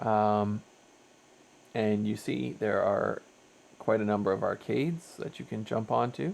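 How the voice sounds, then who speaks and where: A man's voice with noticeable background noise. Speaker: VR game reviewer. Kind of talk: unscripted gameplay commentary. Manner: hesitant, many fillers; trying to speak louder.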